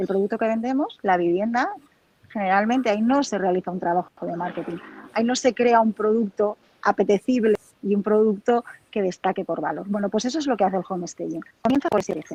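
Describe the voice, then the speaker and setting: With a Spanish accent, a woman talks at a very fast pace and medium pitch, ordinary pitch variation, and long, frequent pauses, in a dry, close sound with no echo. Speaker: home staging professional. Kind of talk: interview.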